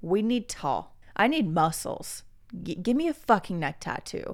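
On a very clean recording with a silent background, a woman speaks at a fairly slow pace with a fairly high pitch and an animated tone. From US Midwest (Oklahoma). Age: 20s. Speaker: podcast host. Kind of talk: casual solo monologue.

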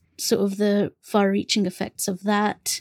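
A woman with a London accent speaks at a moderate pace and medium pitch in a monotone, flat delivery, the sound dry and close with no echo. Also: very clean recording, silent background. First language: Bengali. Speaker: podcast co-host, bookseller. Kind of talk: casual conversation.

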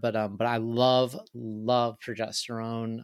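The recording is very clean, and the background is silent. A man talks at a medium pitch, his intonation fairly even. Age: 30s. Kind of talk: casual interview chat. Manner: casual, heavy swearing, filler words.

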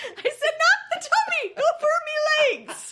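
At a moderate pace, an extremely high-pitched, put-on character voice speaks.

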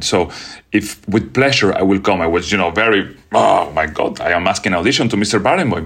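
A man speaks with a Spanish accent in a very deep, low voice. His pitch varies in an ordinary way, and his pace is fairly quick. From Venezuela. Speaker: orchestra conductor. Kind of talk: interview.

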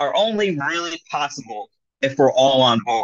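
Here a man speaks at a fairly high pitch. His pace is moderate and his intonation lively. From South Florida. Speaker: chef and HR professional. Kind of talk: interview. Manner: halting, many fillers.

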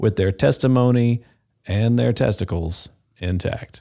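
This man has a plain, everyday voice at a medium pitch. He speaks at a fairly slow pace with lively intonation. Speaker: podcast host. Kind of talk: scripted intro then casual chat.

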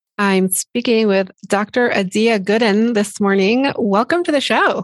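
A woman with a plain, everyday voice speaks at medium pitch and a fairly slow pace, dry and close with no echo on a very clean recording with a silent background. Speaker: podcast host. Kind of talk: interview for a podcast, with scripted intro and outro.

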